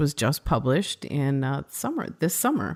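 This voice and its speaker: A woman with a Midwestern accent speaks with lively intonation. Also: very clean recording, silent background. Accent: Midwest. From Minnesota. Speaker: podcast host. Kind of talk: interview conversation.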